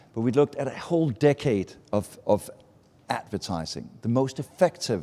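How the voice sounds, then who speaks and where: A dark, mellow tone with ordinary pitch variation. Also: man. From Denmark, small Baltic island. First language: Danish. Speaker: advertising speaker. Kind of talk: talk to a live audience. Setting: stage with audience at a festival meetup.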